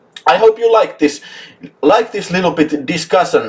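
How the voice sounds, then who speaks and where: Speaking in a Finnish accent, a man uses very wide pitch swings and vocal fry. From Finland. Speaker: YouTube film channel host. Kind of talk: casual live chat. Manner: animated.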